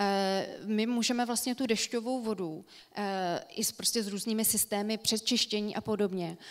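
Against a quiet background, a woman with a plain, everyday voice speaks at a fairly slow pace, her fairly high pitch held to a fairly even intonation. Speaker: landscape architect; presenter. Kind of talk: lecture. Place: stage.

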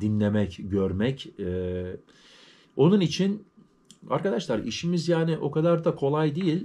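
A man talks at a fairly slow pace with a dark, mellow tone. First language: German stronger than Turkish (speaking Turkish). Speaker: YouTuber, vlogger. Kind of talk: casual vlog talk to viewers. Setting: at home. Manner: halting, with many fillers. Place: home room. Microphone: phone near.

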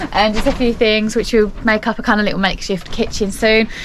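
There is light background noise. Through it, a woman speaks. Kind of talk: casual vlog chat. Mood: upbeat, cheerful. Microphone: phone near.

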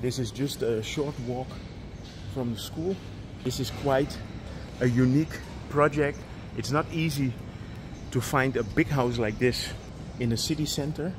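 A man speaks at a fairly slow pace, leaving long, frequent pauses. Noticeable background noise is present. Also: ordinary pitch variation. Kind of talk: property tour narration. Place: garden. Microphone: phone near.

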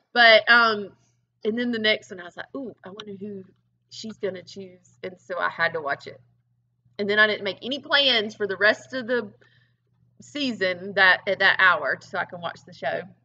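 A woman with a Southern US accent at a moderate pace, with big swings in loudness and ordinary pitch variation. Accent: Southern US (Georgia). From US South, rural Georgia. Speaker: fitness coach. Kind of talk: casual interview. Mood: relaxed, friendly. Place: gym. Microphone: webcam.

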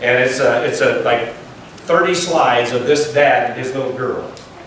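Strong room echo and light background noise surround a voice with ordinary pitch variation. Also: man. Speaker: pastor. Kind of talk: sermon. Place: church.

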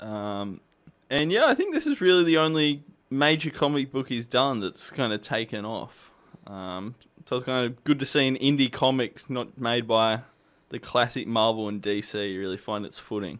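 A man speaks at a moderate pace. His pitch shows ordinary variation. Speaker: radio co-host. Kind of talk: media review discussion. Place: studio.

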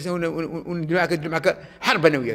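Speaking at a high pitch in an animated tone, a man is heard against a quiet background. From Algeria. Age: 70s. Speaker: video blogger. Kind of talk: angry rant. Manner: animated, heated. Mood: angry, scolding. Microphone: phone near.

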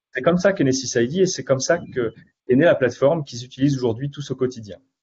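Somewhat breathy, a man speaks with ordinary pitch variation against light background noise. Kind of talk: webinar presentation.

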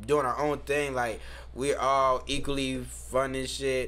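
Fairly slow speech from a man, room echo clearly audible. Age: 30s. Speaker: podcast co-host. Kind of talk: casual chat.

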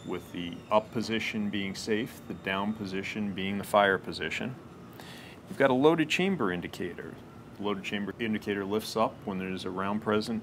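Amid light background noise, a man speaks at a moderate pace and fairly low pitch with ordinary pitch variation. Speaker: presenter. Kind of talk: product demonstration. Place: office.

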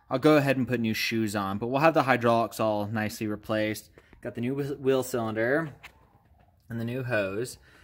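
A man is speaking at a fairly quick pace. His intonation stays fairly even. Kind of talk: tutorial. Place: garage. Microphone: phone near.

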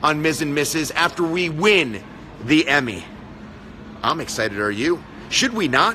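A man speaks at a fairly slow pace. Light background noise can be heard. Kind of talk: casual live stream chat. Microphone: phone near.

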